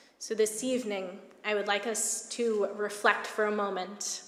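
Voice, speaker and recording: The speech is monotone and flat in an American accent. Audible room echo and noticeable background noise surround it. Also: woman. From United States. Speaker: rabbi. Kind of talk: sermon.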